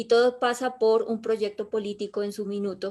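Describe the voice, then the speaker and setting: On a very clean recording with a silent background, a woman speaks fairly slowly at a fairly high pitch. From southern Colombia, Pasto (Nariño). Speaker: public innovation consultant. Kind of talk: talk about personal failures and career.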